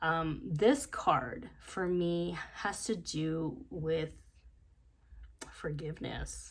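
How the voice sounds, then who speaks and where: Vocal fry at a very slow pace, with ordinary pitch variation and audible room echo. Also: woman, fairly low pitch for a woman. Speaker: tarot card reader. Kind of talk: tarot reading. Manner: quiet; hesitant, many fillers.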